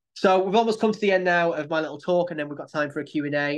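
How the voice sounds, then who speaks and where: Against a quiet background, a man with a Manchester accent speaks with ordinary pitch variation. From Manchester, England. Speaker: poet with sight loss. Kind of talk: personal talk to a support group.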